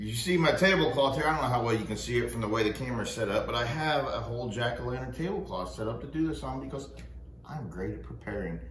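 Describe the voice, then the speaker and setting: A man at a fairly quick pace, with light background noise and audible room echo. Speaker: craft video host. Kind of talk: casual tutorial chat. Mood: joking, self-deprecating. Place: home room. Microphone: phone near.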